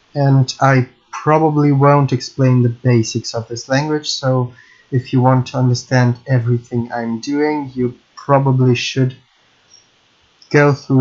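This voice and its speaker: In a Russian accent, a man speaks at a fairly slow pace, medium in pitch, with monotone, flat intonation. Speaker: game programming YouTuber. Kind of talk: tutorial. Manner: halting.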